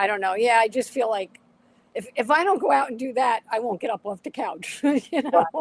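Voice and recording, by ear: A woman's fairly high voice with a slightly husky edge and lively intonation. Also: fairly quick pace.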